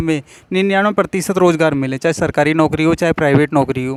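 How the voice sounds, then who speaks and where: A man's normal speaking voice, fairly high in pitch, at a moderate pace with fairly even intonation and a dry, close sound with no echo. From Uttarakhand, India. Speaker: YouTube interviewer. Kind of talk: street interview.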